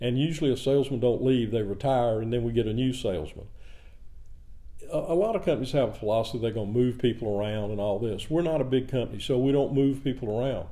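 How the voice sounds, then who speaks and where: Talking at a very fast pace, a man speaks with a Southern US accent. Room echo is audible. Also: medium pitch for a man, ordinary pitch variation. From US South, rural south Georgia near Savannah. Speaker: cement company president. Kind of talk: podcast interview. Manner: halting.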